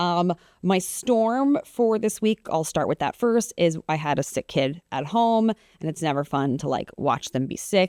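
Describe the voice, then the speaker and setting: A woman talks in a fairly low voice with very wide pitch swings and hardly any pauses. The sound is dry and close, with no echo. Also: fairly slow pace. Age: 30s. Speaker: podcast host and TV meteorologist. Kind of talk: casual chat. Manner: casual, many fillers.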